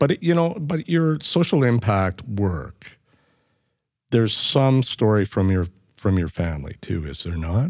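A man's medium-pitched voice with a Canadian accent, very wide pitch swings and a fairly slow pace, on a very clean recording with a silent background. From Canadian Prairies (northern Manitoba, raised in Edmonton). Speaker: podcast co-host, former city councillor and journalist. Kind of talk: casual chat.

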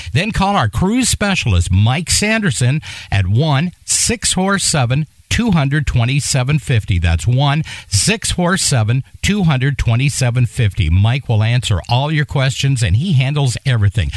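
A man speaks very slowly in an upbeat, warm tone, his fairly high voice making very wide pitch swings while his loudness stays very even. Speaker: radio DJ. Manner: upbeat, warm and energetic, smooth broadcaster delivery with a friendly, feel-good tone.

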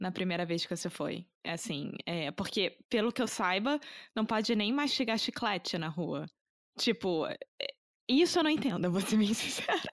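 In a Carioca accent, a woman talks at a moderate pace with medium pitch and lively intonation. The recording is very clean, with a silent background. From Rio de Janeiro, Brazil. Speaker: podcast host, language teacher. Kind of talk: casual interview chat.

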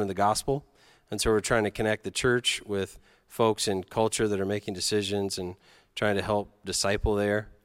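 A man's normal speaking voice, fairly low in pitch, in a dry, close sound with no echo and a very clean recording over a silent background. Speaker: advocacy group director and interviewer. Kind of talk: moderated interview. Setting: stage with audience.

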